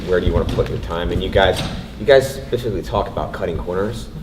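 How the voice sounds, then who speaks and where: Talking very fast, a man is heard through audible room echo and noticeable background noise. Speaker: indie game developer on panel. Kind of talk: panel discussion. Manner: loud.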